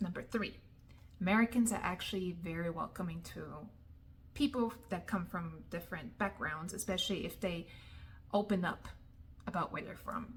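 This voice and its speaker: A woman speaks at a medium pitch with ordinary pitch variation and a somewhat breathy quality. Her speech has long, frequent pauses. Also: moderate pace. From Germany. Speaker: vlogger. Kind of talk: advice vlog.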